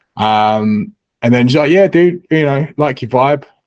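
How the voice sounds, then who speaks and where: A man talks with an English accent at a moderate pace. The background is quiet. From England. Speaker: crypto newsletter writer. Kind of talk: casual chat.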